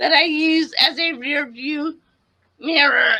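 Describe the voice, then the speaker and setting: A woman speaks in a raised, projected voice with a bright, sharp tone. Her pitch is high, and her pace is very slow. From US Northeast, Connecticut. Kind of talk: casual interview.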